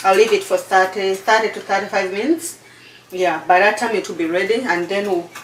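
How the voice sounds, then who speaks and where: A woman with a Ugandan accent speaks at a fairly quick pace in a medium pitch with ordinary pitch variation. Noticeable background noise runs underneath. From Uganda, eastern region (Busoga). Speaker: cooking channel host. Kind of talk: cooking tutorial chat. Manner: halting, repeats words.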